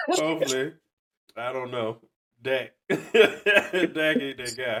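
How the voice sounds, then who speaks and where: A man with an American accent speaks at a very slow pace. His medium-pitched voice has lively intonation. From US South, Georgia. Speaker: podcast host. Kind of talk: casual chat.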